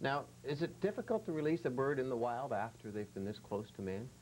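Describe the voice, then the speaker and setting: This man has an unremarkable speaking voice at a medium pitch. He talks at a fairly quick pace with lively intonation. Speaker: TV host. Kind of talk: TV show hosting.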